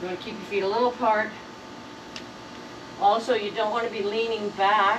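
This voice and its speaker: Noticeable background noise and audible room echo surround a woman's fairly high voice. She speaks at a moderate pace with monotone, flat intonation. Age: 70s. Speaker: martial arts instructor. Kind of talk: tutorial. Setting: outdoors. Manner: casual, conversational with hesitations.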